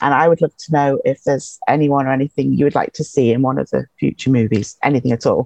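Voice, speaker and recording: A woman with an English accent speaks at a very fast pace with hardly any pauses and very even loudness, in a dry, close sound with no echo. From England. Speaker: fan. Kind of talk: casual chat. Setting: video call.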